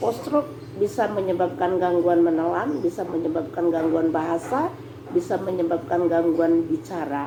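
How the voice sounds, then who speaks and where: Against noticeable background noise, a woman with a fairly low voice speaks at a moderate pace with lively intonation and very even loudness. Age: 60s. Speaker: speech therapist. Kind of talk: tutorial.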